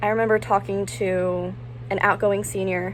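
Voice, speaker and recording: A woman speaks with an American accent. Her pace is moderate, with noticeable background noise. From Ocean City, US. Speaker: recent high school graduate. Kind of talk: personal statement to camera. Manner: some stuttering.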